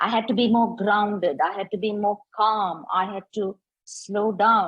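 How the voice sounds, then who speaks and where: A somewhat breathy woman's voice at a fairly slow pace. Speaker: transitions coach and facilitator. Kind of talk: workshop talk. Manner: normal brisk pace.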